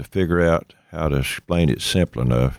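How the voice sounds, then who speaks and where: The speaker has an Appalachian accent. The pace is moderate. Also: man, dry, close sound with no echo. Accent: Southern US (Appalachian). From East Tennessee. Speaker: state senator and farmer. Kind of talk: casual chat.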